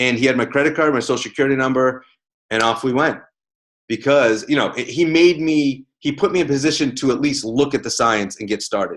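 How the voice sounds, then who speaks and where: Over a quiet background, a man talks in an animated tone with ordinary pitch variation. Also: fairly quick pace. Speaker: network marketing team leader. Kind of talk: team conference call talk. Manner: fast.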